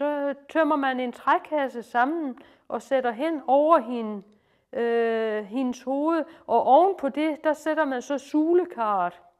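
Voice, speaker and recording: Speaking at a very slow pace with a Lolland accent, a woman uses a high voice with ordinary pitch variation. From Lolland, Denmark. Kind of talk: informal retelling and explanation. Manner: hesitant, many fillers.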